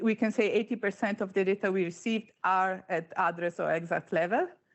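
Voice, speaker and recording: At a moderate pace, a woman with an Italian accent speaks at a medium pitch with ordinary pitch variation. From Italy. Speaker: panel moderator, insurance flood specialist. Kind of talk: conference presentation. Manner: hesitant, many fillers.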